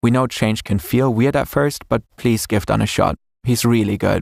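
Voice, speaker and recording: A man with a non-native accent speaks at a moderate pace in a medium pitch. His pitch varies in an ordinary way, and the sound is dry and close with no echo. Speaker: channel co-founder and narrator. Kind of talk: scripted announcement.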